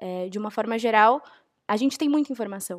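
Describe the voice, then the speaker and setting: A woman talks at a fairly quick pace in an unremarkable speaking voice, with medium pitch and ordinary pitch variation. The recording is very clean and dry, close with no echo, over a silent background. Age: 20s. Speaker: university student. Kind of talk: panel discussion.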